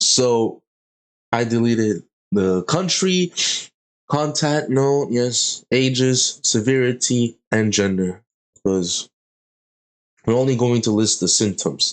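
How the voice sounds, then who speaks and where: A man speaks at a very slow pace with long, frequent pauses. His intonation is lively and his loudness very even. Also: medium pitch for a man. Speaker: university student. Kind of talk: casual screen-recording assignment walkthrough. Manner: hesitant, many fillers.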